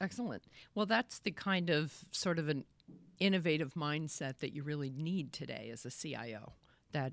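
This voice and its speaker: A woman speaks in a very deep, low pitch with an American accent. Her pitch swings very widely. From Boston area. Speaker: interviewer host. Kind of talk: live interview. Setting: video call livestream.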